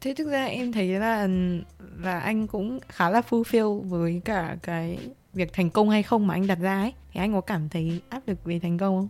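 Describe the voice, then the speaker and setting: An ordinary speaking voice at a moderate pace, on a very clean recording with a silent background. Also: woman, medium pitch for a woman, ordinary pitch variation. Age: 20s. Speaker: podcast co-host, university student. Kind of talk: casual chat.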